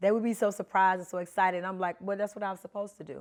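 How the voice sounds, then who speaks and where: A woman with a Memphis accent speaks at medium pitch on a very clean recording with a silent background. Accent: Memphis Southern. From US South, Memphis, Tennessee. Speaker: co-host, military veteran and corporate professional. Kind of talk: storytelling in a discussion.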